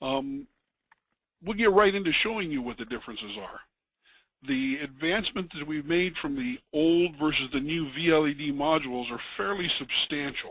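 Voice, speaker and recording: With lively intonation, a man speaks at a moderate pace in a fairly high pitch. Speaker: product webinar presenter. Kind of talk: technical webinar presentation. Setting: webinar. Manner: halting, many fillers.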